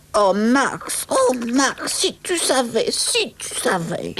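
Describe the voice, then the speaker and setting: This put-on character voice sits at a high pitch. The delivery is very slow. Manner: excited, breathless.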